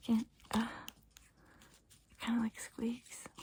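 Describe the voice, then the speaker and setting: Someone whispers in a calm tone. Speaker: ASMR creator, tarot card reader. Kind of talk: ASMR soft-spoken talk to camera. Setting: home recording with a basic camera. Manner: soft-spoken, calm, reassuring.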